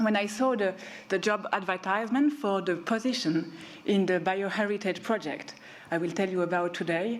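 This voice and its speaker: With audible room echo and noticeable background noise, a woman speaks at a moderate pace and medium pitch, with ordinary pitch variation and very even loudness. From Switzerland. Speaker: researcher. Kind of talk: conference talk. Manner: hesitant with fillers.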